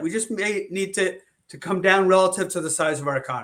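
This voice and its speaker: Raised and projected, the voice has a bright, sharp tone. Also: man. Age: 50s. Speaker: economist. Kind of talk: interview. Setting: podcast recording.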